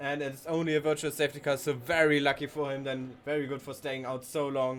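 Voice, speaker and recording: This man talks with a German accent at a fairly high pitch. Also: fairly quick pace. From Germany. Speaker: sim racing commentator. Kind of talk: live commentary. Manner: animated; halting.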